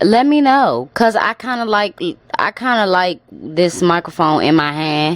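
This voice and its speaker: Speaking very slowly with lively intonation, a woman with an American accent is heard over noticeable background noise. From Washington DC, US. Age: 20s. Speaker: podcast host. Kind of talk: casual reaction commentary. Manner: animated.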